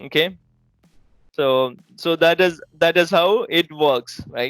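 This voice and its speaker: Very slow speech in a Keralan accent with ordinary pitch variation, over music in the background. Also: man, high pitch for a man. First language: Malayalam. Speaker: IT trainer. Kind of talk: tutorial. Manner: halting, with frequent repetitions.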